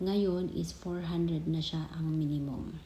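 Against audible room echo, a woman's somewhat breathy voice sits fairly low in pitch, with a dark, mellow tone and monotone, flat intonation. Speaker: vlogger and overseas Filipino worker. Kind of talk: casual explainer vlog. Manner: halting, with many fillers.

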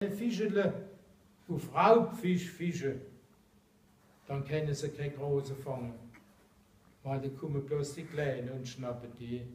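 With a Mannheim accent, a man speaks very slowly in a fairly high voice with lively intonation. Long, frequent pauses break up his speech, and room echo is audible. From Mannheim, Germany. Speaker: angler. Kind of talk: casual explanation to camera. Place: classroom. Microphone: camera far.

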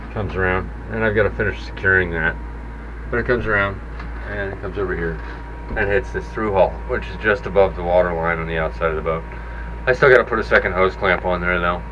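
A man's very deep, low voice amid noticeable background noise. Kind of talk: casual tour commentary. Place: boat. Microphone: phone near.

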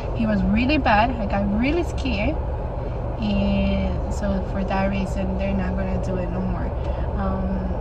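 A woman speaks at a fairly slow pace with long, frequent pauses, against loud background noise. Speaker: vlogger. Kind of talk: casual vlog chat. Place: car. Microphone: phone near.

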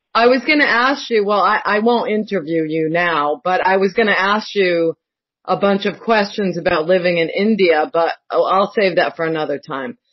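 Lively intonation marks a woman's medium-pitched delivery at a moderate pace. She has a plain, everyday voice. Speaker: caller. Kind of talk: casual chat.

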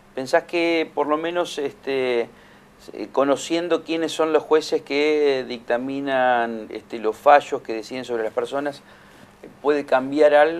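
With ordinary variation in pitch, the speech moves fairly slowly. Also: man, fairly high pitch for a man. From Argentina. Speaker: tv news host. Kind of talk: studio interview. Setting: studio. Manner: halting. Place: studio. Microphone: studio mic.

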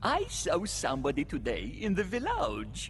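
Over clear background noise, a man in a put-on character voice speaks at a moderate pace.

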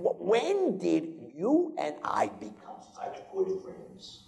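At a very slow pace, the speaker delivers lines in a put-on character voice.

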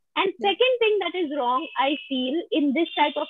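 A woman is speaking. The background is quiet. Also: dry sound with no echo. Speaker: panel guest; guest. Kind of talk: personal testimony. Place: home room. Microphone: earbuds.

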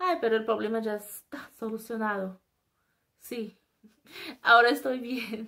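Against a quiet background, a woman with a bright, sharp tone speaks at a fairly slow pace with long, frequent pauses. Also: fairly high pitch for a woman, ordinary pitch variation. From Brazil. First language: Portuguese (speaking Spanish). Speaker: YouTuber; vlogger. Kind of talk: casual vlog monologue. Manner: halting. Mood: animated, expressive. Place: home room. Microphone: webcam.

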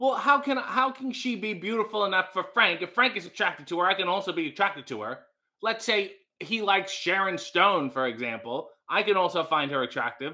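A man's raised, projected voice, bright and sharp in tone, at a fairly quick pace over a quiet background. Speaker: livestream host. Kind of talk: casual livestream chat reading comments. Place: kitchen. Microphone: webcam.

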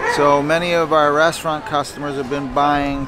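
Over noticeable background noise, a man speaks at a moderate pace in a monotone, flat way, the sound dry with no echo. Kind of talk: casual market update. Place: market.

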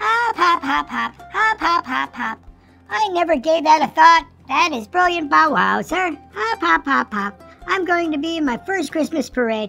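A woman does a cartoonish character voice pitched high, with a bright, sharp tone, vocal fry, a fairly slow pace, long, frequent pauses, and faint music in the background. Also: lively intonation.

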